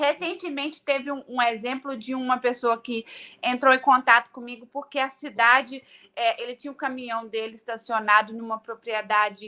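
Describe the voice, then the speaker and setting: At a moderate pace, a woman in a Minas Gerais accent projects a raised voice with a bright, sharp tone and a high pitch. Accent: Brazilian mineiro, swallows words. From Brazil, Minas Gerais. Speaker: politician, city councillor running for state office. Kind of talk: interview.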